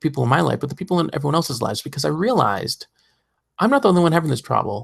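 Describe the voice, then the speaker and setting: The recording is very clean and the background silent. A man talks. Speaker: podcast host. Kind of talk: podcast monologue. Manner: fast; high energy.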